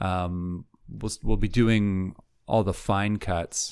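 This man speaks with a Canadian accent at a fairly low pitch, with ordinary pitch variation. The recording is very clean, with a silent background. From Vancouver, western Canada. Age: 50s. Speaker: film editor. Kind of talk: casual interview. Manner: halting, repeats words.

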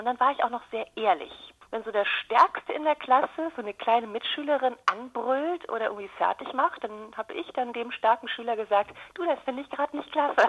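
A woman's high, lively voice at a fairly quick pace, against noticeable background noise. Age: 40s. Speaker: communication trainer. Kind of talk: interview. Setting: phone call.

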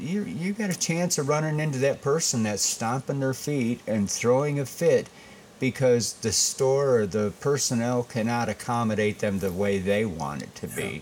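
With an American accent and lively intonation, an ordinary speaking voice proceeds at a moderate pace. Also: man, medium pitch for a man. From Michigan, Saginaw. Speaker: restaurant owner. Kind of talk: casual interview.

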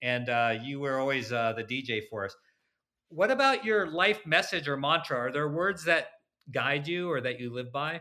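In a very clean recording with a silent background, a man with a bright, sharp, fairly high voice speaks at a moderate pace with lively intonation. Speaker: podcast host. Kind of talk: podcast interview.

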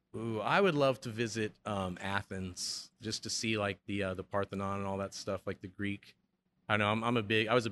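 A man with an American accent uses a plain, everyday voice at a fairly low pitch, speaking at a moderate pace with fairly even intonation in a dry, close sound with no echo. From Chicago, US Midwest. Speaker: brewery manager. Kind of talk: casual interview.

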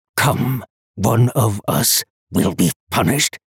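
In a put-on character voice, a man speaks slowly-ish and raspy at a medium pitch, with ordinary pitch variation and a dry, close sound with no echo. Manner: clipped, each word a separate heavy statement; menacing, gleeful.

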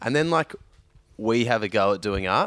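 Heard through a very clean recording with a silent background and a dry, close sound with no echo, a man with a fairly low pitch talks at a moderate pace. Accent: Australian. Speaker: podcast co-host. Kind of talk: casual banter, swearing. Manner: joking, laughing.

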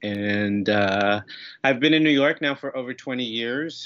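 A man talks at a fairly slow pace. He speaks with an American accent. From San Francisco, California. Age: 40s. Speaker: stand-up comedian and actor. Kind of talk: casual chat. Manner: halting.

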